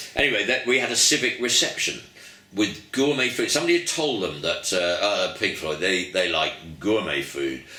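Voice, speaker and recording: Through audible room echo and noticeable background noise, a man with an English accent talks at a moderate pace, his fairly low voice making very wide pitch swings. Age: 70s. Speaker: musician. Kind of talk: interview. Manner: animated storytelling.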